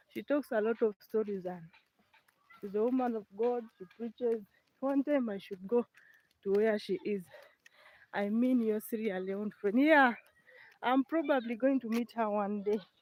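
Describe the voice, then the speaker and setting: A moderate pace in a Ugandan accent, with long, frequent pauses. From eastern Uganda. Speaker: village life vlogger. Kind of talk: live stream walking vlog. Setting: outdoors walking in the village.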